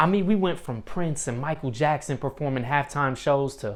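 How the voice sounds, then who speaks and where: A man speaks in a plain, everyday voice at a fairly quick pace, with fairly high pitch and ordinary pitch variation. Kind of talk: comedic opening monologue to an audience.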